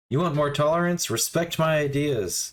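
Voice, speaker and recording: Put-on character voice from a man, pitched fairly high and moving at a moderate pace. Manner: mocking.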